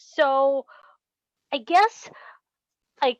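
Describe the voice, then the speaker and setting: A woman speaks with a non-native accent and a high pitch. The sound is dry and close with no echo, over a quiet background. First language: not English. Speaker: class participant. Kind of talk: online class discussion. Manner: halting.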